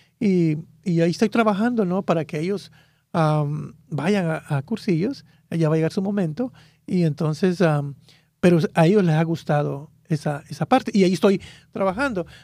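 In a very clean recording with a silent background, a man speaks at a moderate pace with a high pitch, ordinary pitch variation and a dark, mellow tone. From Guatemala. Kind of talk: religious radio interview. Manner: halting.

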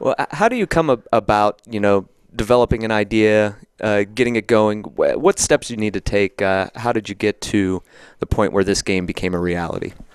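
Dry and close with no echo, a plain, everyday voice moves at a fairly quick pace with ordinary pitch variation. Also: man, fairly low pitch for a man. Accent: American. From Somerset, Pennsylvania. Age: 40s. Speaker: newspaper podcast host. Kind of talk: interview.

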